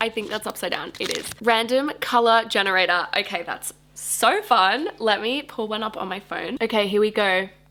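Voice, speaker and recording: With an Australian accent, a woman talks at a moderate pace in a fairly high pitch, with hardly any pauses. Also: ordinary pitch variation. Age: 20s. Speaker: book YouTuber. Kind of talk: casual talk to camera.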